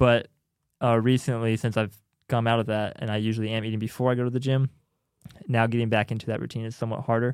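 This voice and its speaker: Medium-pitched and flat, a man speaks in a monotone at a very fast pace. He leaves long, frequent pauses. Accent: American. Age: 20s. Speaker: church maintenance worker. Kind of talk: casual chat.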